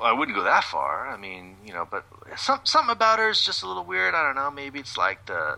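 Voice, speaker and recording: A man puts on a character voice, drawling at a medium pitch over light background noise. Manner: smooth, drawling, laid-back.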